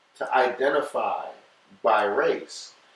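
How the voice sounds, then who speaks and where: A man with a slight Guyanese accent talks at a very slow pace. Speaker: podcast guest. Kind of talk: casual chat.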